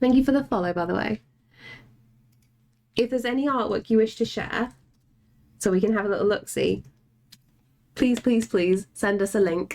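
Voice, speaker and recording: With an English accent and an animated tone, a woman speaks at a moderate pace with ordinary pitch variation and long, frequent pauses. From England. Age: 30s. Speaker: artist streamer. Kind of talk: casual chat. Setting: live stream.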